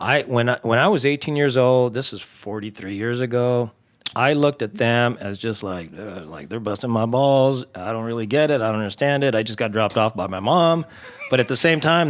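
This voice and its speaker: Over noticeable background noise, a man with an American accent talks at a fairly quick pace, with a medium pitch and ordinary pitch variation. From Southern California (Azusa). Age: 60s. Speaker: fire battalion chief. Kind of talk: casual chat. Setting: studio.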